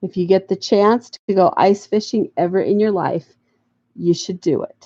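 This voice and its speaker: With an American accent, a woman speaks at a medium pitch and a fairly slow pace with ordinary pitch variation in a dry, close sound with no echo. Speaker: crafting YouTuber. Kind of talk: casual livestream chat. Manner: halting.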